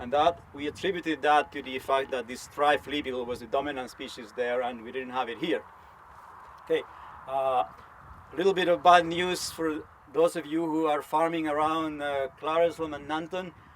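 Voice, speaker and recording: This man has a Spanish accent and a moderate pace. His loudness swings widely. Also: fairly high pitch for a man. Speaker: entomologist, research scientist. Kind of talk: conference talk. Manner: animated.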